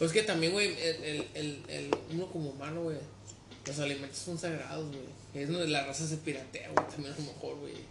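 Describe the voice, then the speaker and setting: A man with a fairly high pitch and fairly even intonation speaks at a moderate pace, with audible room echo and noticeable background noise. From Mexico. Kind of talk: casual chat.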